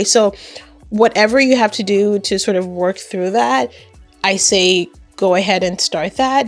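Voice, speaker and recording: With music in the background, the speech is broken by long, frequent pauses. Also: woman. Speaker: YouTube creator and web designer. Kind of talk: casual talk to camera.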